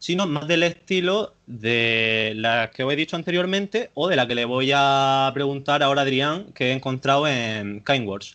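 A man's bright, sharp, fairly high voice at a moderate pace, with ordinary pitch variation. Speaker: podcast host. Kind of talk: casual interview. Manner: halting.

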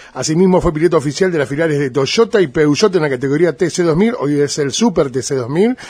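With a fairly high pitch, a man talks at a fairly quick pace in an animated tone with lively intonation. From Argentina, Buenos Aires province (Arrecifes). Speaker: radio host and stadium announcer. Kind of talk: interview; formal introduction.

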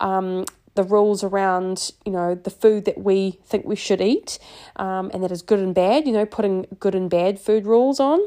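Against a quiet background, a woman with a New Zealand accent and a dark, mellow tone speaks at medium pitch and a moderate pace with ordinary pitch variation. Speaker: podcast host and life coach. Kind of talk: casual solo monologue.

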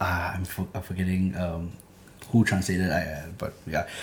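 His voice sits very deep and low. The man keeps his delivery at a moderate speed. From Singapore, Clementi. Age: 20s. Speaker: rapper. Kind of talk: interview.

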